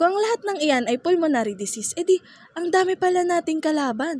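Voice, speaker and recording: Extremely high in pitch, a woman talks at a fairly quick pace with very wide pitch swings, recorded in a dry, close sound with no echo. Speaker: student. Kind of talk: scripted health infomercial. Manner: upbeat.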